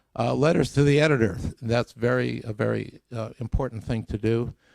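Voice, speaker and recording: There is vocal fry in this man's voice as he talks at a moderate pace with ordinary pitch variation, the sound dry and close with no echo. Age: 70s. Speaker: scientist giving a public talk. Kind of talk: lecture. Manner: halting.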